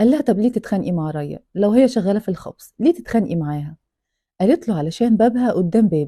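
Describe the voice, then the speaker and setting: With an Egyptian accent, a woman talks at a fairly quick pace at medium pitch, her dark, mellow, somewhat breathy tone swinging very widely in pitch against a quiet background, the sound dry and close with no echo. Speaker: storyteller reading a true-crime book. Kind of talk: reading aloud with narration.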